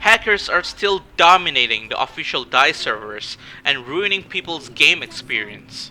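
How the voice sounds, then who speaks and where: Noticeable background noise runs beneath a man's voice. He speaks at a moderate pace with a high pitch. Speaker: gaming YouTuber. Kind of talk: casual talk to camera.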